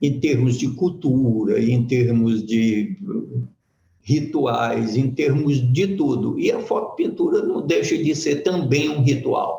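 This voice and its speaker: A man at a very slow pace, his loudness very even. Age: 70s. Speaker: photo-painting master artist. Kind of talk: talk at an art fair workshop. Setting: event with live audience.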